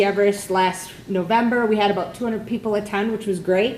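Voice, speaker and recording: Noticeable background noise sits behind a woman's fairly high voice. She speaks at a very fast pace with fairly even intonation. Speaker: prevention coordinator hosting a community meeting. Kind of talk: meeting announcements to a live audience. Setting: meeting room with audience.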